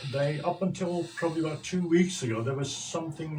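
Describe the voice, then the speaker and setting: Fairly quick male speech with noticeable background noise. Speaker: social entrepreneur. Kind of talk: radio interview.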